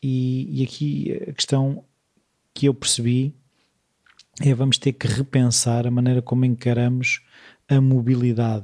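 A man with a somewhat breathy, medium-pitched voice talks at a fairly slow pace with long, frequent pauses. His loudness stays very even, his intonation fairly even, and the sound is dry and close with no echo. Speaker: podcast host. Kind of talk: interview conversation.

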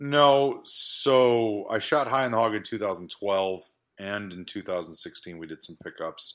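Against a quiet background, a man with a fairly low pitch and an ordinary speaking voice talks at a fairly slow pace, with lively intonation and big swings in loudness. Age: 40s. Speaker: horror filmmaker. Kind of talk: casual chat.

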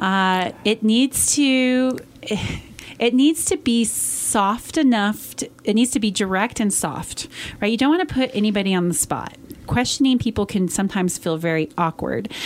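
A woman with an American accent, an ordinary speaking voice, lively intonation and a moderate pace. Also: fairly high pitch for a woman. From Colorado, Western Slope (Montrose). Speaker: company CEO. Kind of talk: interview. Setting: radio studio.

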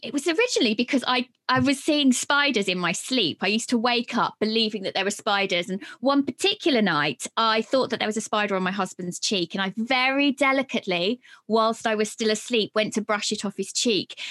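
A woman with a British accent talks at a fairly quick pace in a bright, sharp tone with lively intonation. The recording is very clean with a silent background, dry and close with no echo. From UK. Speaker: podcast agency founder and author. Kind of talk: casual interview chat.

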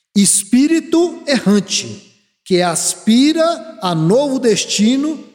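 A man speaks at a very slow pace in a high pitch. His pitch swings very widely. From Brazil, moved around; mostly Brasília. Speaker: spiritist lecturer. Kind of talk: lecture. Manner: conversational, frequent filler tags.

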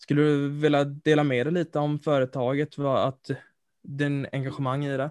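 Heard in a dry, close sound with no echo, a man with a fairly high pitch uses an unremarkable speaking voice. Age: 20s. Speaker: student podcast co-host. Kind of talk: interview.

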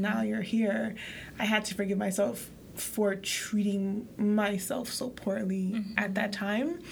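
A woman with an American accent speaks at a fairly slow pace in a medium pitch, her intonation monotone and flat, over noticeable background noise. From Haiti, raised in the US from a young age. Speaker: podcast co-host. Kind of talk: casual chat.

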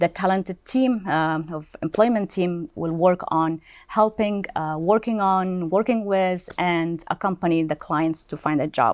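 On a very clean recording with a silent background, a woman with an unremarkable speaking voice and fairly low pitch talks at a fairly slow pace with ordinary pitch variation. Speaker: employment counselor. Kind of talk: interview conversation.

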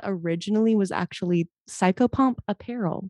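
A woman with an American accent speaks at a moderate pace in a lively, animated way, her voice dry and close with no echo against a quiet background. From US South, Mobile, Alabama. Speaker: singer and shop owner. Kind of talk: interview.

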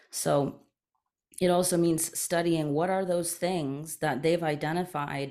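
A woman with a Canadian accent talks at a fairly slow pace with fairly even intonation. The recording is very clean, with a silent background. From Eastern Canada. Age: 30s. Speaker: journalist and media company founder. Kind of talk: interview conversation.

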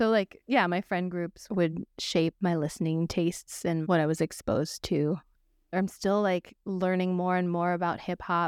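A woman with an American accent speaks in a normal speaking voice at a moderate pace, with a fairly low pitch and fairly even intonation. The recording is very clean and silent in the background, with a dry, close sound and no echo. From international upbringing (Morocco, Canada, Malawi, Kazakhstan), then US Bay Area from 16. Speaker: musician and songwriter. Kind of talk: interview.

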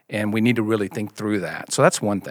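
A man with a slight Mississippi accent, in a very clean recording with a silent background. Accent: slight Southern (Mississippi). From US South, Mississippi. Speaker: founder of a church generosity ministry. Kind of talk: casual interview about faith.

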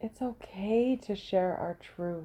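Calm and relaxed, a woman speaks very slowly at a medium pitch with fairly even intonation. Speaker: podcast host and women's soul coach. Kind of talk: reflective monologue.

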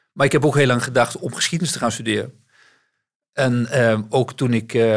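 A man speaks fairly quickly at a medium pitch in an ordinary speaking voice. The recording is very clean, with a silent background. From West-Brabant, Netherlands. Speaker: bank CEO. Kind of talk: interview.

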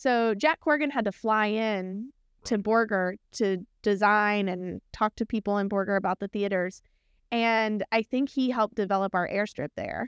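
On a very clean recording with a silent background, a woman speaks at a fairly high pitch with a slight Texan accent. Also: ordinary pitch variation, moderate pace. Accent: Texan twang, slight. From small town in Texas. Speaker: architect and research team director. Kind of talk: casual interview chat.

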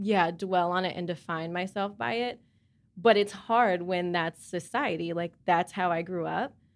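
A woman with an American accent speaks in a normal speaking voice at a moderate pace, her fairly low pitch showing ordinary pitch variation. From US South, Charlotte. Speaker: mother. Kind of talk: casual group discussion.

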